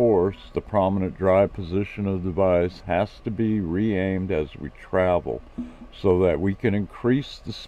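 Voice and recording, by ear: Reading aloud in a natural voice, intonation fairly even throughout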